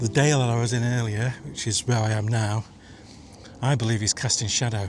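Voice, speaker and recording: Music plays in the background as a man speaks at a fairly quick pace. His loudness stays very even and his intonation fairly even. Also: medium pitch for a man. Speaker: landscape photographer. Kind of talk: casual talk to camera. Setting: outdoors.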